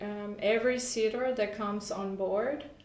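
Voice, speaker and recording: Against noticeable background noise, a woman with a Spanish accent and fairly high pitch talks at a fairly slow pace with fairly even intonation. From Honduras. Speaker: entrepreneur. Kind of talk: casual chat.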